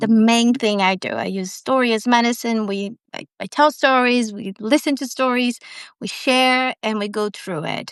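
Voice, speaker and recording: A woman's fairly high voice with a Portuguese accent at a moderate pace. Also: ordinary pitch variation, big swings in loudness, quiet background. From Brazil. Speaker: storyteller. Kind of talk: interview conversation.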